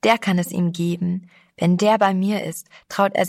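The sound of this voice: The intonation stays fairly even in an unforced reading voice. Behind it, the background is quiet.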